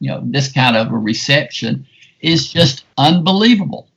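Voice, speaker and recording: With a Southern US accent and some vocal fry, a man talks at a moderate pace and medium pitch, his pitch varying in an ordinary way. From US South, South Carolina. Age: 70s. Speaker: film critic. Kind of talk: podcast interview. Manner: animated.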